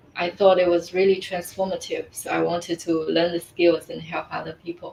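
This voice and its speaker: A woman's fairly low, monotone, flat voice in a Mandarin accent, with big swings in loudness. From China. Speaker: life coach. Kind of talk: interview. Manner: hesitant, many fillers.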